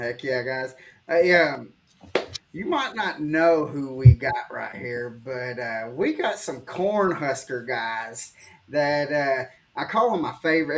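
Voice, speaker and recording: Speaking in a strong Southern accent, a man moves at a fairly slow pace. His intonation is lively. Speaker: podcast host. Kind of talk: casual chat.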